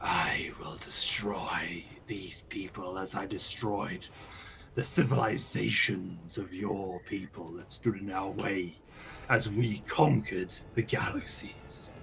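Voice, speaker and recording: Putting on a character voice, a man speaks at a fairly low pitch and fairly slow pace with big swings in loudness, over light background noise. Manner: scary, menacing.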